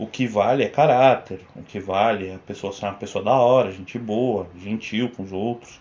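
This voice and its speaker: With a Paulista accent, the speaker keeps a fairly even intonation, hardly pauses at all, and swings widely in loudness. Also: man, fairly low pitch for a man, moderate pace. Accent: Paulista Brazilian Portuguese. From Brazil, São Bernardo do Campo (São Paulo). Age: 20s. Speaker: video editor, host's partner. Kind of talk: casual chat.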